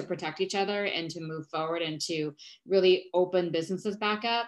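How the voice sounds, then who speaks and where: A plain, everyday voice moves at a moderate pace with ordinary pitch variation against a quiet background. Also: woman. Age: 40s. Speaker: founder of a wellness movement. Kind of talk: casual chat.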